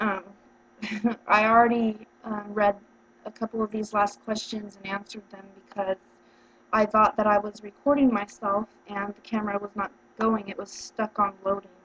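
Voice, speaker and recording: Over noticeable background noise, a woman with a fairly high pitch talks at a moderate pace in a flat monotone, leaving long, frequent pauses. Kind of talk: practice job interview answers to camera. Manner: hesitant, frequent filler words.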